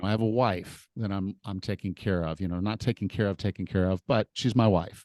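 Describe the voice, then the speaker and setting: A man at a fairly quick pace and fairly low pitch, with a dry, close sound with no echo and a quiet background. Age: 50s. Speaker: fitness coach and podcast host. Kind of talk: interview conversation. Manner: animated.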